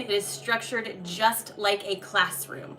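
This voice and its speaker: A woman with a fairly high pitch at a moderate pace, over noticeable background noise. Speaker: tarot and energy reader. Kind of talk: live stream readings announcements.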